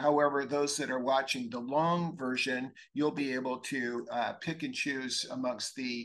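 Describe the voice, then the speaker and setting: A man with a normal speaking voice, medium in pitch, speaks with fairly even intonation. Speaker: physician and webinar host. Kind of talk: webinar presentation. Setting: live webinar.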